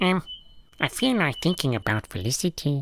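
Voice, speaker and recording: A put-on character voice sits at a middle pitch with very wide pitch swings. The recording is very clean, with a silent background. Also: moderate pace. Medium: audio drama. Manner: literal, deadpan, short replies.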